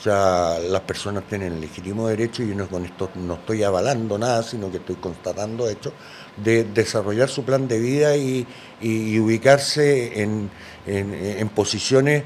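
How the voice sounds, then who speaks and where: At a moderate pace, a man talks at a fairly low pitch with ordinary pitch variation amid noticeable background noise. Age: 60s. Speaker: politician. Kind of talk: interview. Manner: halting, many fillers.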